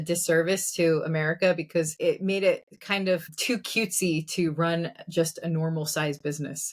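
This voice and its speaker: A woman talks with hardly any pauses. She has a normal speaking voice. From New Jersey. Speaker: entrepreneur. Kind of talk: casual chat.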